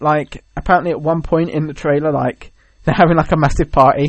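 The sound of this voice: The man's pitch is fairly high and his pace is fairly quick. His intonation stays fairly even.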